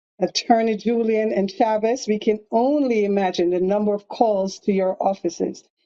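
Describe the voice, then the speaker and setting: This woman's voice has a dark, mellow tone at a medium pitch. She talks at a fairly slow pace with ordinary pitch variation. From Jamaica. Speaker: county commissioner. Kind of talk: prepared remarks at a town hall. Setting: phone call.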